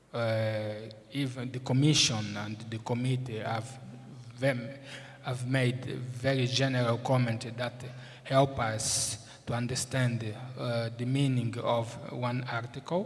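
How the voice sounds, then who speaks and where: Over audible room echo, a man speaks at a medium pitch, very slowly, with monotone, flat intonation. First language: Portuguese. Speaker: moot court judge. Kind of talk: formal speech. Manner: halting, many fillers.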